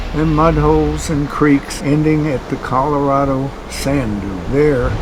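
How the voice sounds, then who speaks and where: Man at a medium pitch and a fairly slow pace, with noticeable background noise and audible room echo. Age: 80s+. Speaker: retired off-roader. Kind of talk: recorded reminiscence narration.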